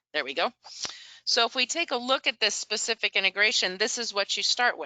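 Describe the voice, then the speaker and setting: A woman has an ordinary speaking voice at a fairly high pitch. Her intonation is lively and her pace fairly quick. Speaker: software integration presenter. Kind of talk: product demo webinar.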